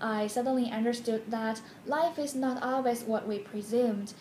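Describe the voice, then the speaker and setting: A woman with a Chinese accent at a moderate pace, fairly even intonation, light background noise and audible room echo. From China, Beijing. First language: Mandarin Chinese. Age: 20s. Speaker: graduate program applicant. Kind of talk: application video monologue. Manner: formal. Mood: warm, nostalgic, smiling. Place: home room. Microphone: phone near.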